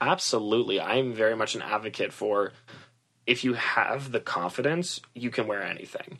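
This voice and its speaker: With an American accent and an unremarkable speaking voice, a man speaks at a moderate pace with medium pitch and ordinary pitch variation. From Massachusetts, US. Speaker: stylist and theater student. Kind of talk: interview.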